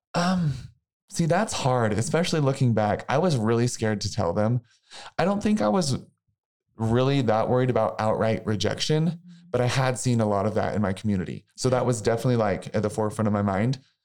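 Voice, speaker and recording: A man with a plain, everyday voice and an American accent, medium pitch, lively intonation, very even loudness and a fairly quick pace. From US Midwest, small-town Missouri. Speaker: former college mascot and author. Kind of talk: interview.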